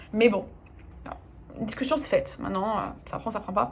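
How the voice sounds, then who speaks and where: A woman talks at a very fast pace in a fairly high voice. Vocal fry runs through her speech. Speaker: life coach. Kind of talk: casual Q&A video monologue. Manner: hesitant, many fillers.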